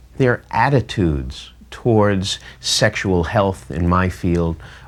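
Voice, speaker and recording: The voice has a New York accent and lively intonation. The pace is fairly slow. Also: man, very clean recording, silent background. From Long Island, New York. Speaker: physician. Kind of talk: interview.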